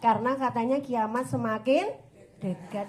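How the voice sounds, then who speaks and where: A woman talks at a fairly slow pace, with audible room echo around her. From West Java (Sundanese). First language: Sundanese (speaking Indonesian). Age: 40s. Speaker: female Islamic preacher and religious counselor. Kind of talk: religious study talk to women's group. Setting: pendopo hall with audience. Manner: conversational, informal.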